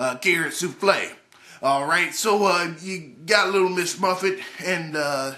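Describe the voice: Ordinary pitch variation in a plain reading aloud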